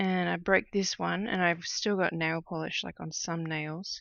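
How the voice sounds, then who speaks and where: Her intonation is fairly even. This woman talks with an Australian accent. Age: 30s. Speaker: cross-stitch designer and streamer. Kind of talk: casual livestream chat while crafting.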